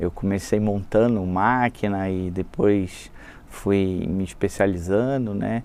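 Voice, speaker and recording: Fairly even in intonation, a man with a fairly low pitch speaks at a very slow pace. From Brazil, Rio de Janeiro. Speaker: sales and marketing executive. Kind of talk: casual interview chat.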